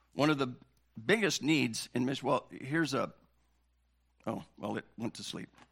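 A man with vocal fry and lively intonation, big swings in loudness, a moderate pace and long, frequent pauses. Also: medium pitch for a man. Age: 60s. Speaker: pastor. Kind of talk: sermon. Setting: church.

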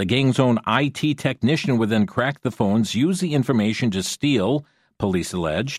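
A plain, everyday voice from a man at medium pitch, with lively intonation and a moderate pace. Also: dry, close sound with no echo. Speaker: radio talk show host. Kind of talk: news commentary on call-in radio. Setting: studio.

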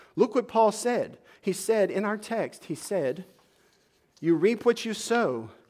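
A man with a high pitch and lively intonation comes through on a very clean recording with a silent background. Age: 40s. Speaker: pastor. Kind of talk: sermon.

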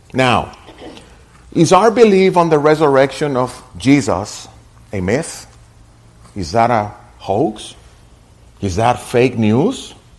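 In a room with audible echo, a man of medium pitch speaks at a very slow pace with very wide pitch swings and long, frequent pauses. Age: 60s. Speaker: pastor. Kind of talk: sermon.

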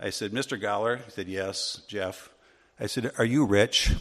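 A man with a plain, everyday voice, fairly low pitch and moderate pace, against a quiet background. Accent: American. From US Midwest, Wisconsin. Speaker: Sunday school teacher. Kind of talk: Bible class teaching.

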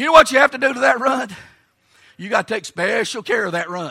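The voice is raised and projected, with a bright, sharp tone and an Appalachian accent. It moves at a very fast pace with lively intonation. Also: man. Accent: Southern US, Appalachian Tennessee. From US South, rural Tennessee hills. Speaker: Baptist preacher. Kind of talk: sermon. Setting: church camp meeting service with congregation.

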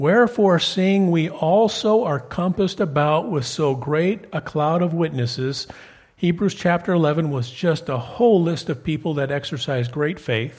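A man with a plain, everyday voice speaks at a fairly slow pace, his fairly high pitch rising and falling in lively intonation. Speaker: preacher. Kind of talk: sermon. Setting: church.

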